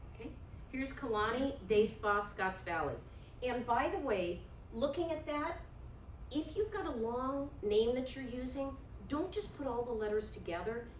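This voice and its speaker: A woman's high-pitched voice with very wide pitch swings at a moderate pace, broken by long, frequent pauses, with audible room echo and noticeable background noise. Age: 60s. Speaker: realtor and workshop presenter. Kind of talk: workshop presentation.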